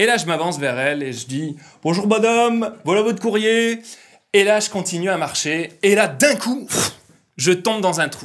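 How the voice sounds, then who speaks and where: Intonation is lively, with a slight northern French accent. The pace is fairly slow and the loudness swings a lot. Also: man, high pitch for a man. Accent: slight northern French (ch'ti). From northern France. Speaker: pastor. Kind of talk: sermon. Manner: halting, many fillers.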